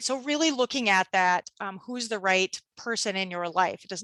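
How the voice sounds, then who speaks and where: Against a quiet background, a woman's bright, sharp tone comes through in a dry, close sound with no echo. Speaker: legal presenter on health care directives. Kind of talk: webinar presentation. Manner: fast.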